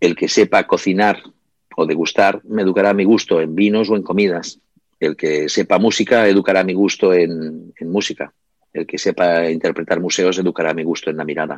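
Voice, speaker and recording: A man's very deep, low voice at a fairly quick pace, in a dry, close sound with no echo. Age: 50s. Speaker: book publisher and writer. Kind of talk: interview. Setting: small delicatessen shop.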